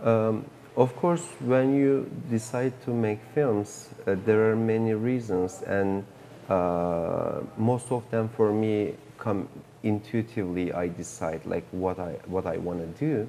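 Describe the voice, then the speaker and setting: Speaking very slowly with a Turkish accent and ordinary pitch variation, the voice comes over light background noise. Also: man, fairly low pitch for a man. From Turkey. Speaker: film director. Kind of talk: interview. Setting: film festival. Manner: halting. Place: hall. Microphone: lapel.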